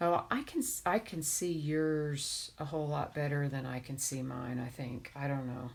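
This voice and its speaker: A woman with a very deep, low pitch talks at a moderate pace, with hardly any pauses. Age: 50s. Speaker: crafter streaming a craft tutorial. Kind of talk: casual chat while crafting on a live stream. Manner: monotone.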